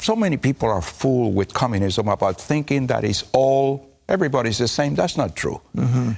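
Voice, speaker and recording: On a very clean recording with a silent background, a man with a Cuban accent speaks at a moderate pace and medium pitch, his intonation lively. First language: Spanish. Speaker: pastor. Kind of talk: TV interview answer. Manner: speaks with conviction and authority.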